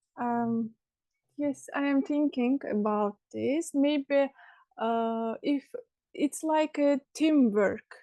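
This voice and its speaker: A woman with an Azerbaijani accent speaks very slowly in a high pitch with ordinary pitch variation and a dark, mellow tone, recorded dry and close with no echo against a quiet background. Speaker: language student. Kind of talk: conversation class. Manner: halting.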